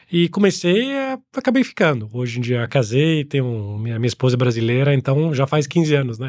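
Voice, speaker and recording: Against a quiet background, a man speaks at a fairly quick pace with hardly any pauses. His pitch is medium, with ordinary variation. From Italy. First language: Italian (speaking Portuguese). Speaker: angel investor. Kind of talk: interview. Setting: studio.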